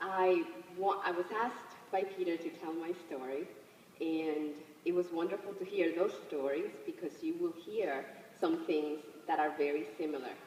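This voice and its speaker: With a Spanish accent, a woman speaks at a moderate pace and a fairly low pitch, using ordinary pitch variation. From Dominican Republic, then New York City from age 13. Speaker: behavioral health clinician and immigrant advocate. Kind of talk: public speech.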